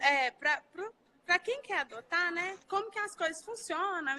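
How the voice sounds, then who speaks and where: In a strong mineiro accent, a woman with an extremely high pitch projects her raised voice at a fairly slow pace with lively intonation, the sound dry and close with no echo. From Brazil, Minas Gerais (Belo Horizonte). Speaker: family law lawyer. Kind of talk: casual live chat. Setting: Instagram live stream.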